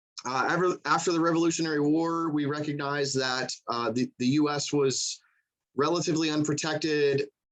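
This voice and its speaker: Fairly quick delivery with a slight Southern US accent, very even loudness and fairly even intonation. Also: man, fairly high pitch for a man. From US South. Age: 30s. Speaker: coast guard petty officer. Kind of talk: presentation to museum audience. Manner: fast; casual, conversational.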